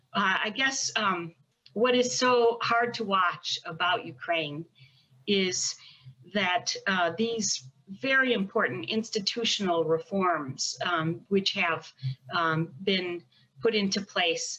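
Against a quiet background, a woman with an American accent speaks at a very slow pace with lively intonation. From United States. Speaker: federal prosecutor. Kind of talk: panel discussion. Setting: video call. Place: home room. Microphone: video call.

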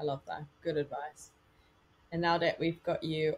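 Somewhat breathy, monotone delivery at a moderate pace, with an Australian accent. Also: woman. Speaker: personal trainer and podcast host; personal trainer, podcast host. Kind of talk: podcast interview. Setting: video call. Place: home room. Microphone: webcam.

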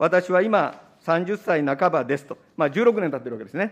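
A man's fairly quick speech with ordinary pitch variation. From Japan. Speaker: opposition politician. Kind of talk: parliamentary committee questioning. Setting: parliament committee room. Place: meeting room. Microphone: podium.

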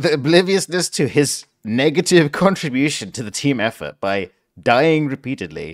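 This man has a fairly high voice with vocal fry and lively intonation. He speaks at a moderate pace in a very clean recording with a silent background. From London, England. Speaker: gaming streamer. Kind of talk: live gameplay stream commentary. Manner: animated.

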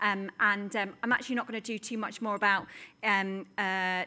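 The intonation is monotone and flat. The speaker is a woman. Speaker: event host, moderator. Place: stage. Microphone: studio mic.

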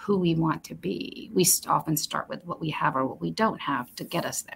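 This woman has a fairly low pitch and some vocal fry, speaking at a moderate pace. Light background noise can be heard. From Romania, moved to the US at about nine. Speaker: HR executive; guest. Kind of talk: interview.

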